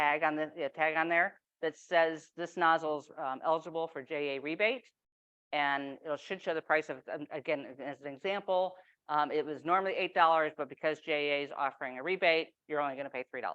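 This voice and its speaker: Fairly even intonation at a fairly quick pace. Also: woman, very deep, low pitch for a woman. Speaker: utility program manager. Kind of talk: presentation. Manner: casual.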